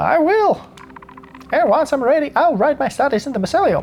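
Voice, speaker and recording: A high-pitched, put-on character voice comes through over clear background noise. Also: moderate pace. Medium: solo performance.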